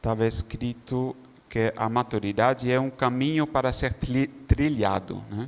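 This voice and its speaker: A man speaks at a fairly slow pace in a medium pitch, his intonation fairly even. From Netherlands. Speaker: religious brother. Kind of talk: testimony. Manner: halting.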